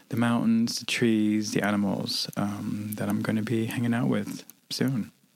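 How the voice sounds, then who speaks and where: Noticeable background noise surrounds a man speaking at a fairly low pitch. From Netherlands. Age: 40s. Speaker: hypnosis practitioner. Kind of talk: interview. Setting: studio.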